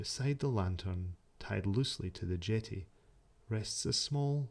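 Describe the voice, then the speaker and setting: Soft-spoken and somewhat breathy, a man with a Scottish accent and a dark, mellow tone speaks very slowly with lively intonation. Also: very clean recording, silent background. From Scotland. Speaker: sleep story narrator. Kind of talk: sleep story. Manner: soft-spoken, slow.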